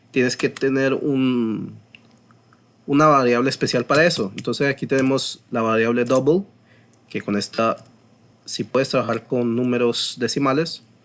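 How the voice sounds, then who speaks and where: A man talks at a moderate pace in a medium pitch with fairly even intonation. He leaves long, frequent pauses. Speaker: programming teacher. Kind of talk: tutorial. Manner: halting, with frequent fillers and repetitions.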